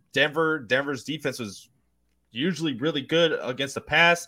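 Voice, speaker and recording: On a very clean recording with a silent background, a man with a fairly high pitch speaks at a moderate pace in an animated, bright, sharp tone. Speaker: football podcast host. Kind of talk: casual sports chat.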